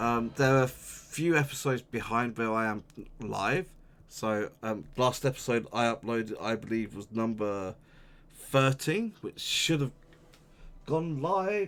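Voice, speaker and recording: Lively in intonation, the man talks at a fairly slow pace. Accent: Welsh. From Wales. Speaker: video game streamer. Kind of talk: casual gameplay commentary sign-off. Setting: live stream. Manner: casual, with filler words.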